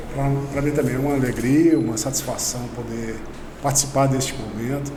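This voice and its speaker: Over noticeable background noise and audible room echo, a man talks at a moderate pace with a fairly high pitch. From Brazil, Ibirité, Minas Gerais. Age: 40s. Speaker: business founder. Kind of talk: interview.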